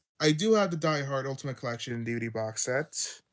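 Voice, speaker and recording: In a very clean recording with a silent background, a man talks quietly at a fairly quick pace. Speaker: YouTube streamer, physical media collector. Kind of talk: casual livestream show-and-tell. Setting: livestream. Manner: halting, many fillers and restarts.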